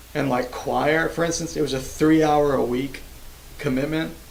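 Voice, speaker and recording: A man with an American accent speaks with fairly even intonation. There is audible room echo and noticeable background noise. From US South, Georgia. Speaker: microtonal musician streamer. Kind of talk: casual livestream chat. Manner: casual, halting.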